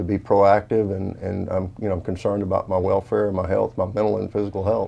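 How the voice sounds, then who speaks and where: Using a fairly quick pace with hardly any pauses, a man speaks in a dark, mellow tone at a fairly low pitch, with monotone, flat intonation and vocal fry. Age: 60s. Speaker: retired pro football player. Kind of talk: interview. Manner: halting.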